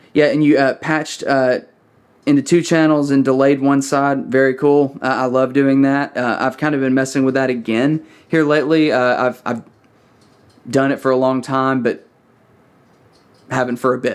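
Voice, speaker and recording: With a Southern US accent, the speaker uses fairly even intonation and takes long, frequent pauses. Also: man. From US South, small-town Alabama. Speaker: church sound engineer and audio YouTuber. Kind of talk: casual tutorial critique. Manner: fast; unrehearsed, many fillers.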